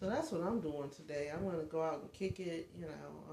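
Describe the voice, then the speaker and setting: This woman's pitch is very deep and low. Audible room echo surrounds her voice. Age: 50s. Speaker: life coach and vlogger. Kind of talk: casual livestream chat. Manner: halting, many fillers.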